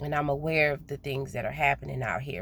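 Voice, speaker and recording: Vocal fry in a Southern US accent. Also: woman. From US South. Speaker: spiritual vlogger. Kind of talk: casual monologue vlog. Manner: naturally slow, trying to speed up; hesitant, repeats words.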